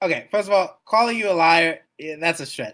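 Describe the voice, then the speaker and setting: Animated, with a bright, sharp tone, a man speaks at a fairly quick pace. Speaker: radio show host for a game community. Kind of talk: heated debate. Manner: loud.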